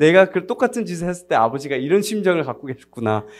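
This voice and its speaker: This man speaks with a non-native accent in a high voice. His pitch swings very widely. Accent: non-native Korean, somewhat unfluent. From United States, Korean diaspora. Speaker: missionary. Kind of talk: sermon. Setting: church service. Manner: halting, frequent self-corrections.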